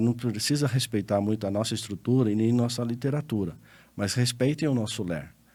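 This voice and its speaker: A dark, mellow tone comes through at a fairly quick pace with ordinary pitch variation on a very clean recording with a silent background. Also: man. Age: 60s. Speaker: lawyer and accountant. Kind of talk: interview podcast conversation.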